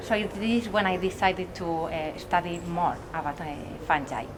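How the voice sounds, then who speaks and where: A woman speaks in a Spanish accent at a moderate pace, her pitch medium with ordinary variation. Noticeable background noise runs underneath. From Spain. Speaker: mycology researcher. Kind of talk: interview.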